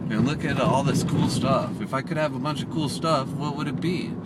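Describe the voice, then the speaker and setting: There is noticeable background noise behind this man. His fairly high voice moves at a moderate pace. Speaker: self-help motivational vlogger. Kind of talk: motivational monologue vlog. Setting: in a car, driving. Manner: loud; animated.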